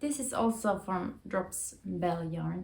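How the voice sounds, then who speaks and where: A woman with a Finnish accent speaks at a very slow pace. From Finland. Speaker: knitting youtuber. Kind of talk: casual chat. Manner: halting.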